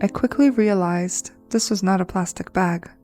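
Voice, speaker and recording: Music plays in the background as the speaker talks with a non-native accent. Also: woman. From Brazil. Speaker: crafter and storyteller. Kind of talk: personal paranormal story told to camera. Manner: stuttering.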